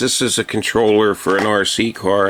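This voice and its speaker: A man speaks over noticeable background noise. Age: 50s. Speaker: YouTuber showing his home and old electronics. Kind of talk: casual vlog chat. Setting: at home, kitchen table. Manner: halting, many fillers.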